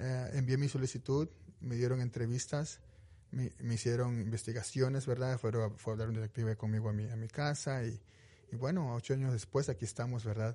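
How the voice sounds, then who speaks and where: A man talks at a moderate pace and medium pitch, his intonation fairly even. His tone is dark and mellow, and somewhat breathy. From Mexico, Veracruz. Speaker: police victim advocate. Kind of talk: radio interview. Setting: studio.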